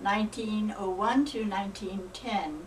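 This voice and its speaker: With fairly even intonation and a fairly high pitch, a woman talks over noticeable background noise. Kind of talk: religious book reading.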